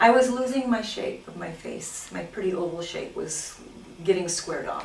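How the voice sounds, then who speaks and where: A woman speaks at a moderate pace, her loudness swinging widely. Audible room echo and noticeable background noise fill the recording. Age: 60s. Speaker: plastic surgery patient. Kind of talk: interview testimony. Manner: animated.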